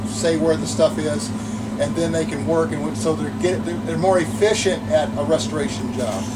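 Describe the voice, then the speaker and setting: A man speaks over loud background noise. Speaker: streetcar conductor guide. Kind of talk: guided tour talk. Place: train. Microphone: camera far.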